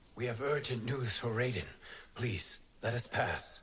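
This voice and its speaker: A man puts on a character voice at a medium pitch. He keeps a moderate pace over light background noise. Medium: video game. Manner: formal, measured.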